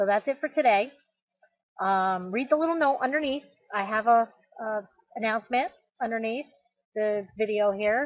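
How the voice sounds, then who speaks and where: A woman with an American accent and a fairly high pitch speaks with ordinary pitch variation and long, frequent pauses. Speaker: small business blogger. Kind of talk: casual vlog. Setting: outdoors in her yard. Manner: fast.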